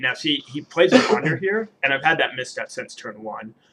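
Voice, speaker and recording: Lively intonation runs through this delivery. A man with a normal speaking voice talks at a fairly quick pace. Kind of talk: player explaining own game.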